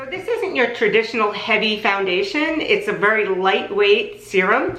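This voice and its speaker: A woman speaks at a fairly high pitch, her voice swinging very widely up and down. There is audible echo from the room and noticeable background noise. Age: 60s. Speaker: makeup artist and beauty vlogger. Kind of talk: product review tutorial. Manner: casual, conversational.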